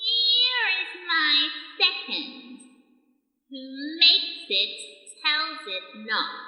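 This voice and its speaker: Using a put-on character voice, a woman speaks high, with very wide pitch swings, at a very slow pace. A clear echo is heard. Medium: audio drama. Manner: formal, archaic phrasing.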